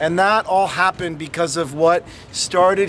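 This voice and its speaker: An American-accented man talks with fairly even intonation against light background noise. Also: dry sound with no echo. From Massachusetts. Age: 30s. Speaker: city politician. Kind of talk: public speech. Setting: outdoor event with audience. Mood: warm, celebratory. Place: street. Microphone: phone near.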